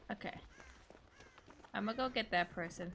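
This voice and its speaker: Noticeable background noise accompanies a woman's voice. She speaks at a moderate pace with ordinary pitch variation. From Australia. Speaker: streamer. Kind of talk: casual gameplay commentary. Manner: animated.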